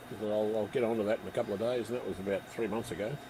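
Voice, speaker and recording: A soft-spoken man with an Australian accent mumbles in a fairly low pitch. His intonation stays fairly even. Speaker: model railway hobbyist livestreamer. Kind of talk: casual chat. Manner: mumbling.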